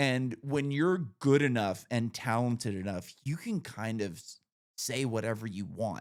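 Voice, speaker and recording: A man with an American accent speaks in a normal speaking voice at a fairly slow pace, his medium pitch rising and falling in an ordinary way. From Northern California. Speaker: podcast host. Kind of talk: casual chat.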